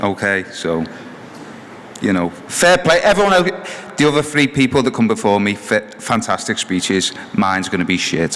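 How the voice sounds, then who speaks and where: With noticeable background noise, a man speaks at medium pitch and a moderate pace, making very wide pitch swings and long, frequent pauses. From England. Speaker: hall of fame inductee, former runner. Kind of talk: acceptance speech. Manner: halting.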